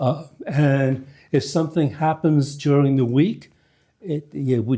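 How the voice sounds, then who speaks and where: On a very clean recording with a silent background, a man with a fairly high pitch and a dark, mellow tone speaks at a fairly slow pace with ordinary pitch variation. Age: 70s. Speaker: priest. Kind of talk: church announcements. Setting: church. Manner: halting, many fillers.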